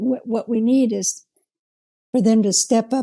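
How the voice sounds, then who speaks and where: Somewhat breathy and dark, mellow in tone, a woman's voice sounds dry and close with no echo over a quiet background. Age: 70s. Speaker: interview guest. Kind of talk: interview.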